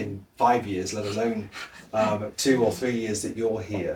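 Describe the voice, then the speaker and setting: A man speaks with a British accent. His intonation is fairly even. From Britain. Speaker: lecturer and TV presenter. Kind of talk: interview answer.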